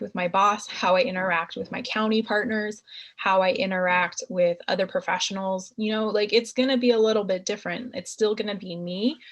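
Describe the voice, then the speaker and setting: A woman with a normal speaking voice, medium pitch, and fairly even intonation talks at a moderate pace against a quiet background. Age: 30s. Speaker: marriage and family therapist. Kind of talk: career talk Q&A with youth.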